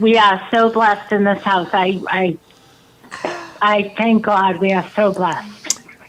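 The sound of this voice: The speaker has a Boston accent and a very slow pace. There is noticeable background noise. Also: woman.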